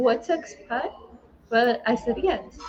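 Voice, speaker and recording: Lively in intonation, a woman talks at a moderate speed while noticeable noise fills the background. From Lithuania. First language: Lithuanian. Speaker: entrepreneur. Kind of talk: testimony. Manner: halting.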